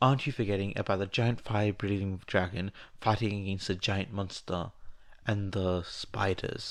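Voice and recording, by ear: A natural voice reading aloud, its intonation fairly even.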